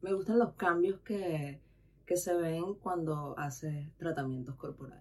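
A woman's fairly low voice moves at a very slow pace, its pitch variation ordinary. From Venezuela. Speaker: massage therapist. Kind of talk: casual chat.

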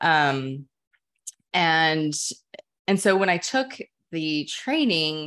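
Fairly low female voice with an American accent and lively intonation, against a quiet background. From Texas, Dallas. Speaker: psychotherapist and yoga teacher. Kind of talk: casual interview.

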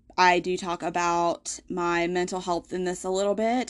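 A woman with a Southern US accent and medium pitch, against a quiet background. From US South. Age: 20s. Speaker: podcast host. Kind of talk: casual personal storytelling monologue. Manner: hesitant, many fillers.

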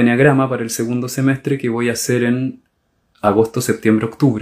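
A man with an ordinary speaking voice, medium pitch and fairly even intonation. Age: 40s. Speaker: gestalt therapist and podcast host. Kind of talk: solo monologue talk.

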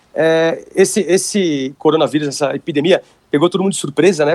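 The sound is dry and close with no echo. A man talks fairly quickly at a fairly high pitch with ordinary pitch variation. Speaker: jiu-jitsu instructor. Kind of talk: casual interview. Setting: Instagram live video call.

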